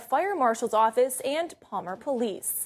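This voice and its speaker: A woman with an American accent speaks at a high pitch and a moderate pace. The background is quiet. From United States. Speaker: TV news anchor and reporter. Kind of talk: studio news anchor read. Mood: serious, measured. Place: studio.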